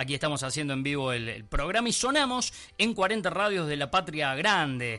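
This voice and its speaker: A man with a fairly high pitch and a bright, sharp tone speaks at a moderate pace, his pitch swinging very widely. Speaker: radio host. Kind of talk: live radio hosting.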